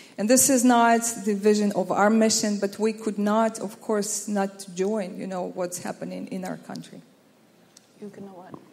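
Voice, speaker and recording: Over noticeable background noise, a woman at a medium pitch speaks at a moderate pace. Her intonation is monotone and flat, yet her loudness swings a lot. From Ukraine. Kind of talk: testimony.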